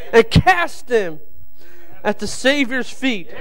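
A man speaks at a very slow pace. Light background noise sits behind him. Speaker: preacher. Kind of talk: sermon. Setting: church. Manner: nervous, halting. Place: church. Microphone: podium.

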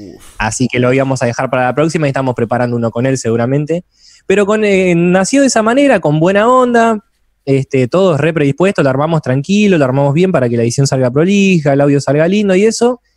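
The pace is very fast. A man speaks at a fairly high pitch. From Argentina, south of Buenos Aires province. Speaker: musician and video editor. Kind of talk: casual interview chat.

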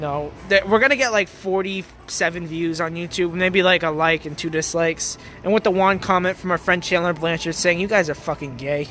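A man's high voice at a moderate pace, with a dry sound, no echo, and light background noise. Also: ordinary pitch variation. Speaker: vlogger. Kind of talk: casual vlog chat. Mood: joking, laughing banter. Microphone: phone near.

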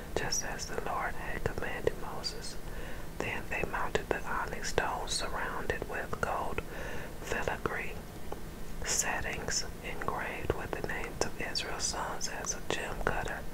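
Over loud background noise, the speaker is whispering, soft-spoken, at a fairly slow pace. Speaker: scripture reader. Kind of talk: reading aloud from the Bible. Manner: soft ASMR whisper reading scripture. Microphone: phone near.

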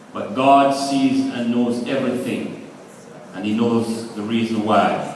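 A man speaks at a very slow pace. Strong room echo and light background noise fill the recording. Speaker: speaker. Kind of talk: funeral eulogy sermon. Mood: solemn, consoling. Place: church. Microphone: camera far.

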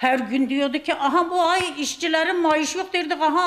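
A woman's voice moves at a moderate pace, with only a quiet background behind it. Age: 70s. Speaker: pensioner's wife interviewed on the street; interviewee. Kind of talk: street interview. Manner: animated. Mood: passionate, indignant about politics. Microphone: handheld.

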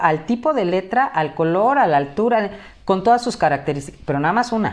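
A woman's voice with very wide pitch swings. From Mexico (Acapulco, Guerrero); Guerrero, Mexico. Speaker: teacher and academic tutoring director; teacher, academic tutoring director. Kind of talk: interview. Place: home room. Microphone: headset.

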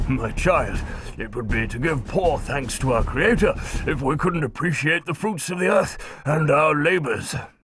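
A man does a put-on character voice at a fairly high pitch with lively intonation. He keeps a moderate pace over clear background noise. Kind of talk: archaic, pious.

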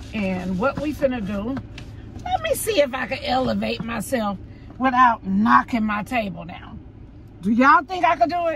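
A woman speaks at a moderate pace with big swings in loudness, recorded dry with no echo over light background noise. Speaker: food vlogger. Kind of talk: casual mukbang vlog chat. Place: car. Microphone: phone near.

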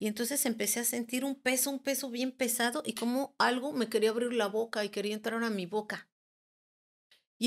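A woman's high-pitched voice proceeds at a moderate speed. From Mexico, Guerrero and Mexico City. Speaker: angel therapist and spiritual teacher. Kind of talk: personal testimony in interview.

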